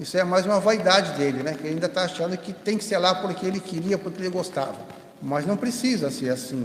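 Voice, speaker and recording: Talking at a very fast pace, a man with a high voice and ordinary pitch variation is heard over noticeable background noise and audible room echo. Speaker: spiritist lecturer. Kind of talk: lecture.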